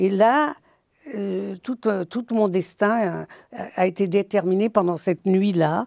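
In a dry sound with no echo and a quiet background, a woman at medium pitch speaks at a very slow pace. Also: ordinary pitch variation. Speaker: writer and biographer; guest. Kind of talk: interview. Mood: reflective, telling a personal memory. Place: studio. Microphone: lapel.

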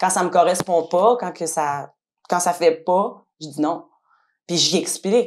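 Speech comes at a very slow pace with long, frequent pauses and ordinary pitch variation, in a Quebec accent. The recording is very clean, with a silent background. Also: woman. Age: 30s. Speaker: cleaning business owner. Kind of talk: testimony.

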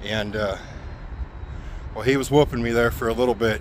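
Light background noise and a dry sound with no echo accompany a man speaking with ordinary pitch variation. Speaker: truck driver vlogger. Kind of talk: casual vlog chat. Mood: joking, tongue-in-cheek storytelling. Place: street. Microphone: phone near.

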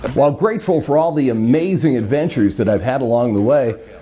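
A man at a very fast pace with lively intonation and very even loudness, music in the background. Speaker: TV meteorologist and radio host. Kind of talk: TV news report.

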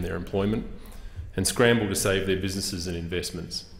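A man speaks in a fairly low voice with audible room echo. Music plays in the background. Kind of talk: formal parliamentary speech. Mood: earnest, firm. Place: hall. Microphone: podium.

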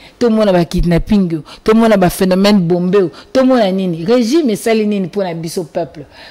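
A woman races along at a very fast pace with a quiet background behind her. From DR Congo. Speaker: party spokesperson. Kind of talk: political talk show. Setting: TV studio. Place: studio. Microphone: studio mic.

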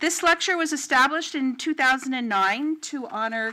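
Raising and projecting her voice, a woman speaks at a high pitch with lively intonation. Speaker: university associate dean and moderator. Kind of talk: formal introduction and Q&A moderation. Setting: stage with audience. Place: hall. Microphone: podium.

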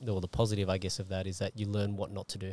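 At a very fast pace and fairly low pitch, a man speaks in a dry sound with no echo. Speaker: podcast host and martial artist; podcast host. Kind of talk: casual interview. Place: car. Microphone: handheld.

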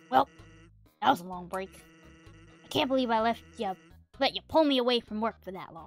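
A put-on character voice with fairly high pitch speaks at a moderate pace, leaving long, frequent pauses. Faint music plays in the background. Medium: game stream. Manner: laid-back, teasing, casual.

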